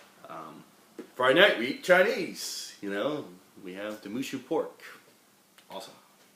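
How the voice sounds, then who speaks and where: With audible room echo, a man of medium pitch speaks at a moderate pace, making very wide pitch swings and big swings in loudness and taking long, frequent pauses. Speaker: rabbi teaching a class. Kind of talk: lecture. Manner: casual, joking.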